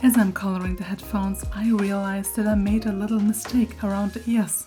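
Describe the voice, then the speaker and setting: With music in the background, a woman with a non-native accent talks at a fairly quick pace. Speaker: artist. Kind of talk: art process voiceover.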